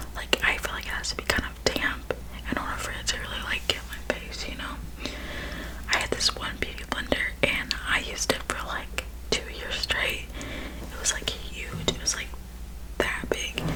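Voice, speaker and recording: A woman whispers at a moderate pace, leaving long, frequent pauses. Noticeable background noise is present. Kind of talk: ASMR makeup bag talk. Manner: whispered; casual, chatty.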